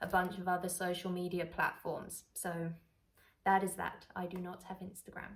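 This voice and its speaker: A woman speaks with a London accent at a medium pitch. Her tone is bright and sharp. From London, England. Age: 20s. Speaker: travel vlogger. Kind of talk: casual chat. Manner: chatty, relaxed.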